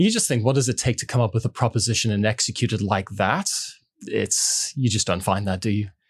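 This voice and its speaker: A man speaks fairly quickly at a medium pitch, his voice somewhat breathy. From mixed: Switzerland, New Zealand, South Africa, Dubai. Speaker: food company sales and marketing head. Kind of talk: podcast interview.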